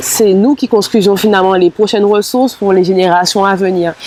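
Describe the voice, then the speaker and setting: The speaker keeps a moderate pace with ordinary pitch variation. Noticeable background noise runs underneath. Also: woman. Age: 20s. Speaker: musician and doctoral student. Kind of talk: interview testimony. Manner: hesitant, many fillers.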